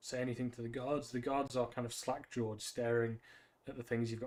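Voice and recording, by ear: Natural-voiced reading aloud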